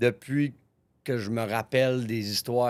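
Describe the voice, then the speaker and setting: A man talks at a fairly slow pace and a medium pitch, with fairly even intonation. The recording is very clean, with a silent background. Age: 30s. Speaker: gym owner, podcast host. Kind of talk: personal storytelling monologue. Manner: casual, with false starts.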